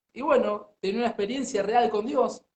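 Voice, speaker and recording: The intonation is lively. The speaker is a man with a high pitch. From Argentina, Buenos Aires. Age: 30s. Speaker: pastor. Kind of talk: interview testimony.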